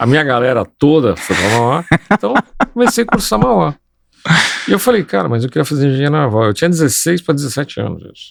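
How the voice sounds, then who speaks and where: A man at medium pitch moves through very wide pitch swings. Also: very clean recording, silent background. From Brazil, São Paulo. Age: 60s. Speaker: civil engineer. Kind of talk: interview conversation.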